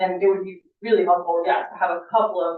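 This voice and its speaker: A woman at a moderate pace. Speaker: state forester and firefighter. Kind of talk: public presentation at council meeting. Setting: city council meeting. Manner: loud.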